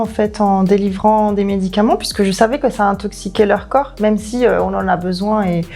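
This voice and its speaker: A woman speaks at a fairly slow pace. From southern France, Ardèche. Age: 30s. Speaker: naturopathy consultant, former pharmacy worker. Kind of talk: testimony. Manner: hesitant, many fillers.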